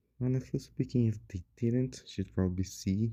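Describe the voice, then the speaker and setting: The voice has a dark, mellow tone and a Portuguese accent. Delivery is at a fairly slow pace. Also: man. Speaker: gaming YouTuber. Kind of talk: casual gaming commentary. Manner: halting. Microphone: poor audio quality.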